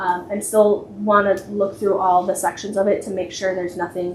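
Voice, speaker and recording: Fairly quick speech with audible room echo. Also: woman. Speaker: library director. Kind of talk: board meeting report. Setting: public meeting in township hall. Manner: fast; frequent filler words.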